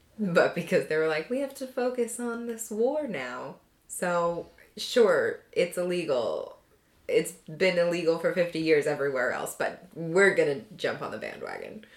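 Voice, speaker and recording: The speaker talks at a fairly slow pace, with very wide pitch swings and big swings in loudness. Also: woman, medium pitch for a woman. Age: 20s. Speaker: podcast co-host. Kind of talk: casual chat. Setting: in person, one shared microphone. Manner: quieter.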